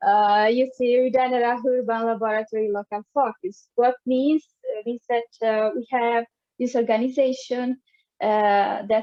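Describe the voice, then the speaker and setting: With an Italian accent, a woman speaks at a moderate pace. Her pitch is fairly high. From Italy. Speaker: dancer and arts organization founder. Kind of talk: presentation. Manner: halting, many fillers.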